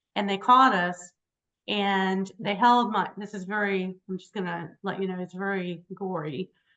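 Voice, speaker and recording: Speaking at a fairly slow pace with an American accent, a woman has an ordinary speaking voice at a medium pitch. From Virginia (Richmond). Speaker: hypnotherapist and author. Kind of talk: interview. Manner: conversational, many fillers.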